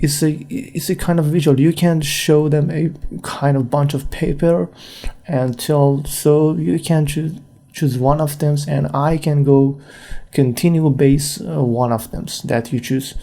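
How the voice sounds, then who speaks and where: At a fairly slow pace, a man speaks with a non-native accent. His pitch is fairly high, with ordinary variation. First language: not English. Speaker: freelance graphic designer, podcaster. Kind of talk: solo podcast monologue. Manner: halting, many fillers.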